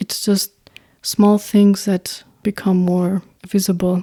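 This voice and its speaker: In an Albanian accent, a woman speaks very slowly in a monotone, flat delivery, her medium-pitched voice dark and mellow, the sound dry and close with no echo. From North Macedonia, Albanian community. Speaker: singer-songwriter and producer. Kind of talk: podcast interview. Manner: halting.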